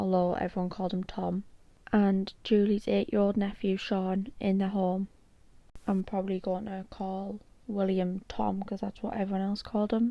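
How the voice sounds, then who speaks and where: A woman speaks at a moderate pace and a medium pitch, her tone dark and mellow. Her intonation is monotone and flat, over a quiet background. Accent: British. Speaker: true crime YouTuber. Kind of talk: true crime narration.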